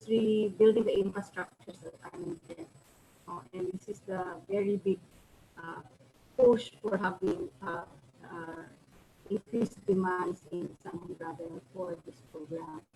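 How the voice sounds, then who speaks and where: A woman at medium pitch speaks slowly in a dark, mellow, somewhat breathy tone with fairly even intonation. Her loudness swings widely, and she takes long, frequent pauses. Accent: Filipino. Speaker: professor. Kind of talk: lecture. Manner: halting, many fillers. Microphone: too quiet at first.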